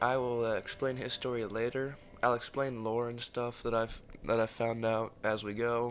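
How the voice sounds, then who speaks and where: A man talks with fairly even intonation. Music can be heard behind him. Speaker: gameplay commentator. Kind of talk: casual gameplay commentary.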